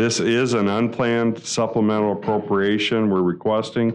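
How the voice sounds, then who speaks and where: This man talks at a moderate pace. His intonation stays monotone and flat. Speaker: presenter. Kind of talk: formal meeting presentation. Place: meeting room. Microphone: podium.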